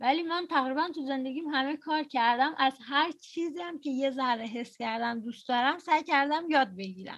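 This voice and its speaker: With hardly any pauses, a woman speaks in a high voice with ordinary pitch variation. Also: moderate pace. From Iran. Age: 20s. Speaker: podcast host. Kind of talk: casual chat. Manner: talkative.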